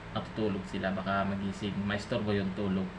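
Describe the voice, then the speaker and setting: Soft-spoken and fairly low in pitch, a man talks at a moderate pace amid audible room echo. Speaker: vlogger, family breadwinner. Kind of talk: casual vlog. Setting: at home at night, kitchen.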